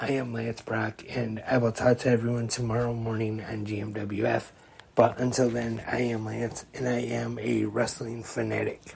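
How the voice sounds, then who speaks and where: Over noticeable background noise, a man speaks at a moderate pace and medium pitch in a flat, monotone way. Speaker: wrestling podcast host. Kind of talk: podcast monologue.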